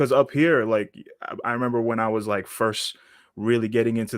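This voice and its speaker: A plain, everyday voice from a man with an American accent, fairly low in pitch and fairly quick in pace, in a very clean recording with a silent background. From Massachusetts, US. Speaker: rapper and producer. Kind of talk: casual interview.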